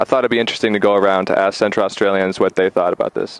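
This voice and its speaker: A man with an American accent talks at a very fast pace with a fairly low pitch and fairly even intonation. The sound is dry and close with no echo. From United States. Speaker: video presenter. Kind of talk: scripted narration.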